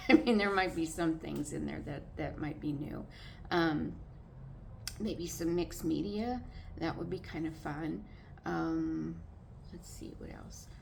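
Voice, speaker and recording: A woman with an American accent at a fairly slow pace, marked by long, frequent pauses and big swings in loudness, with audible room echo. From California. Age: 60s. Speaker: vlogger. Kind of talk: casual monologue vlog. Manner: halting, many filler words.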